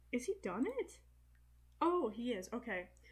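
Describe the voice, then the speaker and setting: A woman speaks quietly in a high voice. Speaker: gaming youtuber. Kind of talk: let's play commentary. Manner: quiet, trying to talk loud; casual, hesitant with fillers. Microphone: bad microphone.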